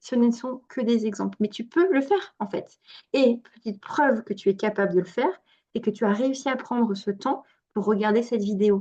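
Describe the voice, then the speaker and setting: A woman speaks at a fairly high pitch and moderate pace. Her tone is dark and mellow, with ordinary pitch variation. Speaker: fertility coach and naturopath. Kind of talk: online workshop talk. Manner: animated.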